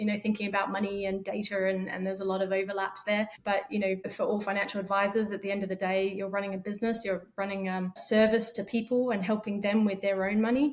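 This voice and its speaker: Rushing at a very fast pace with hardly any pauses, a woman with an Australian accent speaks in a monotone, flat intonation at a medium pitch. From Australia, Perth. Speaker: fintech startup founder. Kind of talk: podcast interview.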